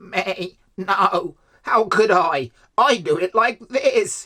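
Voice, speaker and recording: A put-on character voice at a middle pitch and a very slow pace. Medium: read story.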